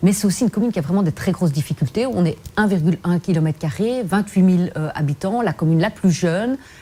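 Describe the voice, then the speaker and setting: Her medium-pitched voice moves at a very fast pace, and the woman's intonation is lively. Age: 40s. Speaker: politician. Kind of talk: TV interview.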